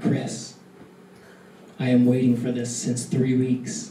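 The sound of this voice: In a put-on character voice, the speaker talks at a fairly slow pace with a raspy, low-to-middle pitch and a slight echo.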